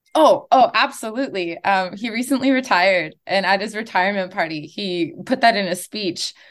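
A woman with a Canadian accent speaks at a moderate pace, with hardly any pauses and lively intonation. She has a plain, everyday voice at a medium pitch. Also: quiet background. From Gatineau, Ottawa region, Canada (Algonquin community). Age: 20s. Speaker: former university soccer player and coach. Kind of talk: casual interview. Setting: video call.

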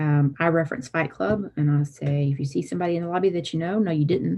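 A woman's very deep, low voice with a Southern US accent, a very fast pace and ordinary pitch variation over a quiet background. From south Alabama. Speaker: licensed counselor and practice owner. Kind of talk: interview conversation.

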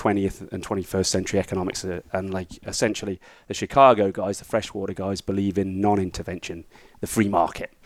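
A man with a British accent, fairly low-pitched and very fast, in a very clean recording with a silent background. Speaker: economics teacher and former surf coach. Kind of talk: casual interview.

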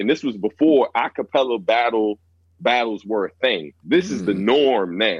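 His pitch varies in an ordinary way. This man speaks at a moderate pace. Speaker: rapper. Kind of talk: casual chat.

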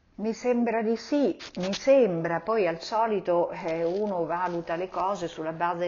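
In a plain, everyday voice, a woman with a fairly low pitch speaks with ordinary pitch variation. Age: 60s. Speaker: mother of the host. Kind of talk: casual interview.

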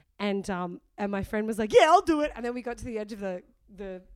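A woman with an Australian accent, fairly quick, with lively intonation. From Sydney, northern beaches, Australia. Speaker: comedian. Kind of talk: casual chat. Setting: studio.

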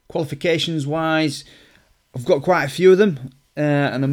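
A man speaks in a Lancashire accent. His pitch variation is ordinary. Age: 30s. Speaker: personal trainer. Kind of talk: solo podcast introduction. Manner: casual, with fillers.

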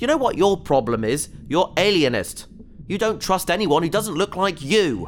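A man sounds nervous as his high voice swings very widely in pitch, with noticeable noise in the background. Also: moderate pace. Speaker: voice actor playing a character. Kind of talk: sci-fi audio drama, comic scripted dialogue. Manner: nervous, rambling, flustered and wry while trapped and in peril.

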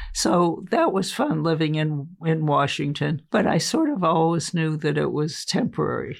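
At a moderate pace and very even loudness, a woman talks with hardly any pauses over noticeable background noise. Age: 80s+. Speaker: sculptor. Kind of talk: casual chat.

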